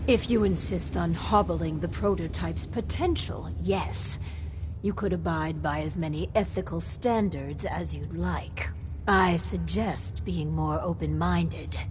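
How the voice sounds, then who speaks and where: Someone speaks fairly slowly in a put-on character voice. Loud noise fills the background. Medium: video game. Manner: dry, skeptical.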